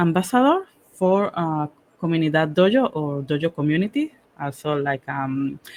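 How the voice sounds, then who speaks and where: In a Panamanian accent, a woman with a fairly low pitch speaks at a fairly slow pace with lively intonation. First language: Spanish. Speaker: cybersecurity professional and workshop speaker. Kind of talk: technical workshop presentation. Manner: halting, with many fillers.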